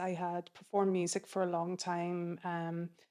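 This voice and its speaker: At a moderate pace, a woman with a Donegal accent speaks at a medium pitch on a very clean recording with a silent background. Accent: Donegal Irish. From Ireland, County Donegal. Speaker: film program manager. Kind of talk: interview.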